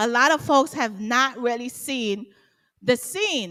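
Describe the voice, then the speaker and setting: In a very clean recording with a silent background, a woman with an American accent speaks at a fairly slow pace, her fairly high, bright, sharp voice animated in tone with lively intonation. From Guyana, grew up partly in the US. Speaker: interviewee, singer. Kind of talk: casual interview.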